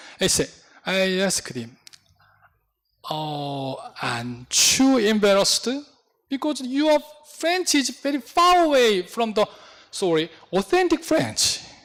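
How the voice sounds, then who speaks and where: A man with a Korean accent speaks at a very slow pace in a high voice, leaving long, frequent pauses. His pitch swings very widely. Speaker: pastor. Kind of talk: sermon. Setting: church. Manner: halting.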